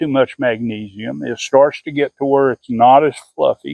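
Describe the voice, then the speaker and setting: This man has a plain, everyday voice with a fairly high pitch. He talks at a fairly slow pace. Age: 60s. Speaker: gardener and farmer. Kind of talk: tutorial. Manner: casual, with frequent fillers and repetitions.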